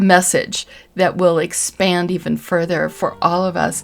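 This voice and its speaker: Over music in the background, a woman speaks at a very slow pace with a fairly low pitch. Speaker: spiritual tarot reader. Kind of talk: tarot reading with guided reflection. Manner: whispering; gentle, soothing.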